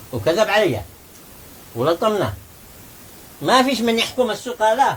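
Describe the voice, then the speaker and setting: With a Taiz accent, a man speaks at a fairly slow pace and a high pitch with lively intonation, over noticeable background noise. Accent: Taizi Yemeni Arabic. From Yemen, Taiz. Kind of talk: humorous folk story told in conversation.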